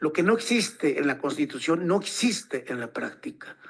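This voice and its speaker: At a moderate pace, a man speaks with a high-pitched voice. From Mexico, northern Veracruz/Puebla Totonac region. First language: Totonac (tutunacú) (speaking Spanish). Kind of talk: forum talk. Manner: halting, many fillers.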